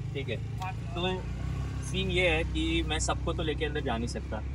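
A man speaks at a moderate pace. The sound is dry with no echo, though there is noticeable background noise. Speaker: vlogger. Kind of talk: casual vlog chat.

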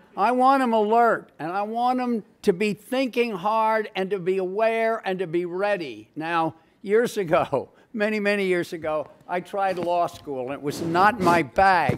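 A man's high-pitched voice at a fairly slow pace, with ordinary pitch variation and light background noise. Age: old. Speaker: English professor. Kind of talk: panel discussion. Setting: stage with audience. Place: hall. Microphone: podium.

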